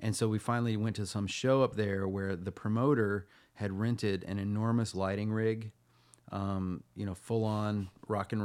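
A man talks at a moderate pace and fairly low pitch in an ordinary speaking voice with fairly even intonation. The recording is very clean, with a silent background. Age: 40s. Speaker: singer-songwriter and author. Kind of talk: casual chat.

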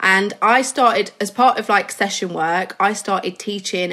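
A woman in an English Midlands accent, bright and sharp in tone, at a moderate pace. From English Midlands, mining village. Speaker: hairstylist and educator. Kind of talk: casual interview chat.

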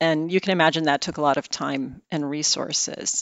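A woman speaks with an American accent and a very deep, low pitch. Her pace is fairly quick. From US Midwest, outside Chicago. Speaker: securities regulator, head of enforcement. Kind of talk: podcast interview.

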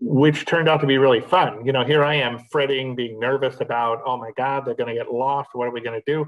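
A man with an American accent speaks in a plain, everyday voice at a medium pitch. He goes at a fairly quick pace with fairly even intonation and hardly any pauses. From Los Angeles, California. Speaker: magazine founder and publisher. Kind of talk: interview.

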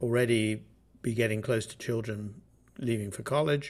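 This man, with a southern English accent, speaks at a medium pitch and moderate pace with fairly even intonation. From southern England, Bath. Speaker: orchestra manager. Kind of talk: interview.

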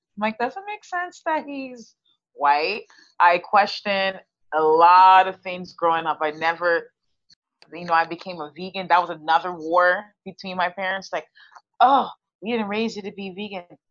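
Speaking with an American accent, a woman of medium pitch keeps a moderate pace with ordinary pitch variation and big swings in loudness. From Texas. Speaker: student. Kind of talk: interview.

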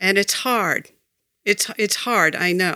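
A woman with an American accent speaks at a very slow pace in a bright, sharp tone with ordinary pitch variation. The recording is very clean, with a silent background and a dry, close sound with no echo. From Massachusetts, Foxborough. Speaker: local election candidate. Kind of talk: interview. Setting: small studio, in person.

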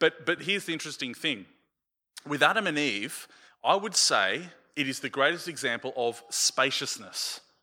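Bright and sharp in tone, a man with an Australian accent speaks at a moderate pace and a fairly high pitch, with lively intonation. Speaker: pastor. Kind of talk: sermon. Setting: church with a congregation.

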